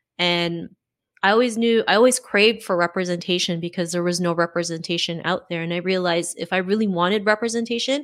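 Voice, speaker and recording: Fairly quick and with fairly even intonation, a woman speaks in an unremarkable speaking voice at a medium pitch. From Canada. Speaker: podcaster and confidence coach. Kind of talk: interview.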